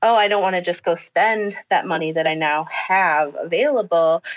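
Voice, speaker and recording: A woman speaks in a plain, everyday voice with lively intonation. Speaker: elementary school teacher. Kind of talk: casual chat. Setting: video call.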